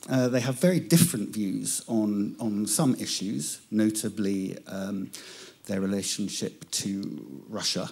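A man with a British accent speaks fairly slowly in a dark, mellow tone, his fairly low pitch moving with lively intonation. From England. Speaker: journalist, Europe correspondent. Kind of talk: conference talk. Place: stage. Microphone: handheld.

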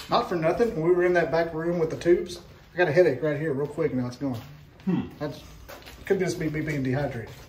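With an Alabama accent, a man talks at a very fast pace in a fairly high voice with ordinary pitch variation over light background noise. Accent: Southern US (Alabama). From Scottsboro, Alabama. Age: 40s. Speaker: podcast host. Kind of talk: casual chat. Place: hall. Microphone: phone near.

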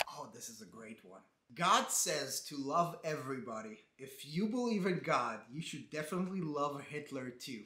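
At a moderate pace, a man with a fairly high pitch and a bright, sharp tone speaks with big swings in loudness, light background noise and audible room echo. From Israel. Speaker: comedian. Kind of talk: comedic commentary reading comments. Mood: sarcastic, mocking. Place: home room.

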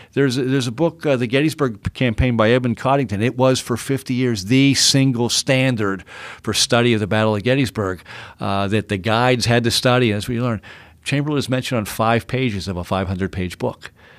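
In a very clean recording with a silent background, a man of medium pitch with an American accent speaks at a fairly quick pace with ordinary pitch variation. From Pittsburgh, Pennsylvania. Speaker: author and historian. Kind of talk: interview. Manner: halting, repeats words.

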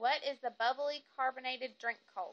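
A woman with a Southern US accent talks at a fairly slow pace. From Fayetteville, Arkansas. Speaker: vlogger. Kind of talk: accent tag, casual talk to camera. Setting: phone recording. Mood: relaxed, casual. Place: home room. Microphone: phone near.

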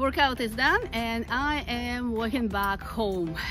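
Clear music plays in the background while a woman speaks in a dry sound with no echo. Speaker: travel vlogger. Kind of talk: casual vlog chat. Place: street. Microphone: phone near.

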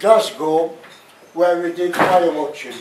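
A man speaks at a fairly slow pace with fairly even intonation. Audible room echo surrounds his voice. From Sunderland, North East England. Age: 90s. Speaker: war veteran, former prisoner of war. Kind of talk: public talk to an audience. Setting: live venue, pub function room. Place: bar.

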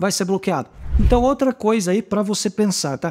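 Against a quiet background, a man with a high pitch speaks in an animated tone. His pace is fairly quick. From southern Brazil. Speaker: YouTuber teaching e-commerce advertising. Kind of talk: tutorial. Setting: home studio recording. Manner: animated, casual. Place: home room.

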